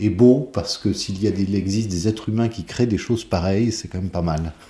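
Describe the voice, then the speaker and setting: A man speaks in a normal speaking voice. His pitch is fairly low and his intonation fairly even. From France, Tours. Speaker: conductor and composer. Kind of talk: interview.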